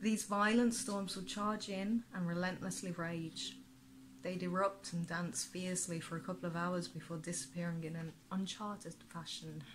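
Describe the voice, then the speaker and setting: Speaking in a Birmingham accent, a woman uses a fairly low, somewhat breathy voice at a moderate pace with fairly even intonation. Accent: Brummie. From England, Birmingham area. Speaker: author. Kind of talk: reading aloud. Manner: halting.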